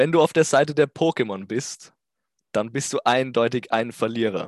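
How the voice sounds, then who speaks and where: Over a quiet background, a man at medium pitch speaks in an animated tone with lively intonation, the sound dry and close with no echo. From Austria. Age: 20s. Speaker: YouTuber. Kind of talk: comedic solo monologue.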